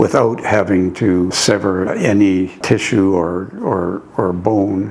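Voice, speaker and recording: The intonation is fairly even, and there is noticeable background noise. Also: man. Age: 80s+. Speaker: spine surgery patient. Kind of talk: patient testimonial interview. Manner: hesitant, halting.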